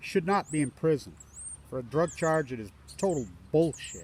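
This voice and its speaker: A man with an American accent, fairly high in pitch, at a moderate pace with lively intonation. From Utah, Ogden. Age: 60s. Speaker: environmental activist. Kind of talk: vlog monologue. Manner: emotional.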